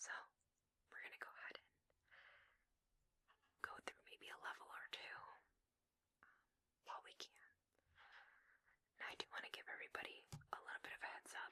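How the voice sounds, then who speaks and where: A woman whispers breathily at a fairly quick pace, with long, frequent pauses and big swings in loudness. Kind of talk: ASMR gameplay whisper. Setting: muffled basement recording with furnace noise. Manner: breathy whispered, soft.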